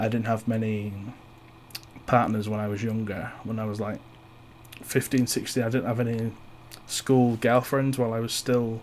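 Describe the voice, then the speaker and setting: With a Yorkshire accent, a man of medium pitch talks at a moderate pace in a flat monotone, taking long, frequent pauses. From East Yorkshire, England. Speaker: podcast host. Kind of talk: personal monologue. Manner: halting; shy.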